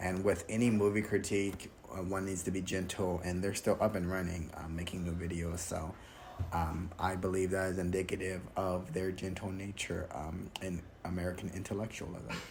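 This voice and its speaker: Over audible room echo, a man talks at a moderate pace in a very deep, low, somewhat breathy voice with monotone, flat intonation. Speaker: YouTuber reviewing a film critique video. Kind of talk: solo video commentary, report style. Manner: hesitant, many fillers.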